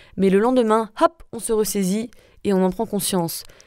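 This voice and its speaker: In a very clean recording with a silent background, a woman with a slight American accent speaks at a fairly quick pace and medium pitch, her tone dark and mellow and her pitch varying an ordinary amount. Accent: slight American accent in English words. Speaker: wellness and spirituality podcaster. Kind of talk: solo podcast monologue.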